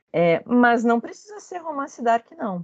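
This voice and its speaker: Very slowly, this woman talks, her pitch swinging very widely up and down. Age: 30s. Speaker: researcher in communication. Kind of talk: interview.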